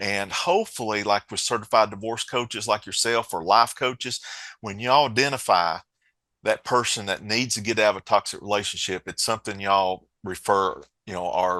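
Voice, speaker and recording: Speaking in an Appalachian accent, a man keeps a moderate pace with a fairly low pitch, ordinary pitch variation, and a bright, sharp tone. The recording is very clean with a silent background and a dry, close sound with no echo. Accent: Appalachian mountain accent, noticeable. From Appalachia, southwest Virginia mountains. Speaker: co-founder of a financial safety app. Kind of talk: podcast interview. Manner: conversational, halting with repeats.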